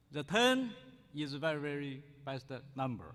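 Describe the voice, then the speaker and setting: A man with a Chinese accent speaks at a fairly high pitch with lively intonation. His pace is fairly slow, and the room echo is audible. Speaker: scholar, conference speaker. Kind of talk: conference speech. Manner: halting, with restarts.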